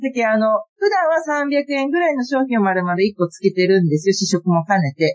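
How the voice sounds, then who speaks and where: Speaking at a fairly quick pace, a woman sends her pitch through very wide swings. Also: medium pitch for a woman. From Hiroshima, Kure. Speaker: family fish cake shop promoter. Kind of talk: casual chat.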